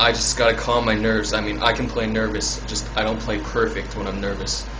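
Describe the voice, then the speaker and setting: A man speaks at a moderate pace in a very deep, low voice. His intonation is monotone and flat, with noticeable background noise. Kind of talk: casual vlog chat. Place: bathroom. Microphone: phone near.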